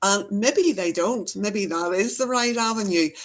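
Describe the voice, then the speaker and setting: Speaking at a fairly slow pace, a woman with a Northern Irish accent uses ordinary pitch variation. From Northern Ireland. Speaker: EFT trainer and healer. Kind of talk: interview.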